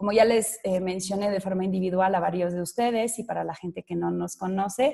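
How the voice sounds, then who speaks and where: A woman with a French accent speaks at a fairly quick pace in a medium pitch, with fairly even intonation and hardly any pauses. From France. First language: French (speaking Spanish). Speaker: sales director presenting a webinar. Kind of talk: business webinar presentation. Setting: online webinar. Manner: hesitant, frequent fillers.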